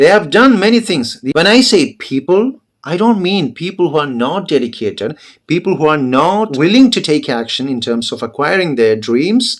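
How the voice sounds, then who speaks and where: A man with a Keralan accent speaks at a moderate pace in a fairly high voice. His pitch swings very widely. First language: Malayalam. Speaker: English teacher. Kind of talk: motivational talk to camera.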